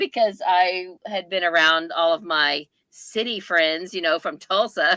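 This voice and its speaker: With an Oklahoma accent and a bright, sharp tone, a woman speaks fairly slowly at a fairly low pitch with ordinary variation, in a dry, close sound with no echo. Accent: Oklahoma Southern American. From US South, southeast Oklahoma. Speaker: booktuber. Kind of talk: casual chat.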